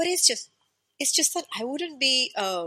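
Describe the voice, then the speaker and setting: Raised and projected, a woman's bright, sharp, high voice moves at a fairly quick pace with very wide pitch swings. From born in India, raised in Africa. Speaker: Kathak dancer and teacher. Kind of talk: interview conversation.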